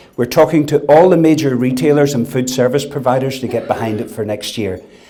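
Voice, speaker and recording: Amid noticeable background noise, a man talks at a fairly quick pace with a medium pitch and ordinary pitch variation. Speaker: food industry executive. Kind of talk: after-dinner speech. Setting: dinner event with audience.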